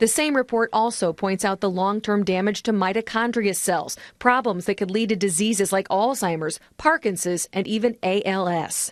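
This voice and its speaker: An ordinary speaking voice from a woman, with ordinary pitch variation and hardly any pauses, over a quiet background. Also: medium pitch for a woman, moderate pace. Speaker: TV news reporter. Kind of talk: TV news report.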